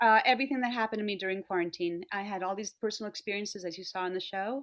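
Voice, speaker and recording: At a very fast pace, a woman with an American accent speaks at a medium pitch with fairly even intonation. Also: very clean recording, silent background. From New York City. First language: Spanish. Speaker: singer and actor. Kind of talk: interview.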